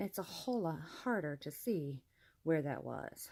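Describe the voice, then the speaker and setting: A woman talks with vocal fry. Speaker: crafter teaching crochet. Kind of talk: tutorial. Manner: casual with fillers.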